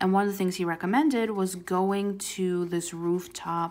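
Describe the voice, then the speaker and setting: Her voice is a plain, everyday voice, a woman's at a fairly low pitch moving at a fairly slow pace in a very clean recording with a silent background. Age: 20s. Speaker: YouTuber doing coloring videos. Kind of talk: casual chat. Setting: at home with a dog in the background.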